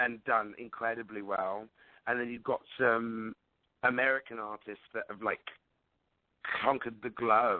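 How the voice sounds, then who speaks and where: A man with a London accent speaks at medium pitch in a monotone, flat intonation. He goes at a fairly slow pace with long, frequent pauses. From London, England. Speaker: singer-songwriter. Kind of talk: radio interview answer.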